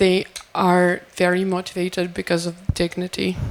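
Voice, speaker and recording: A woman's medium-pitched voice unfolds at a fairly slow pace. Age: 20s. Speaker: soldier. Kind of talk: panel discussion.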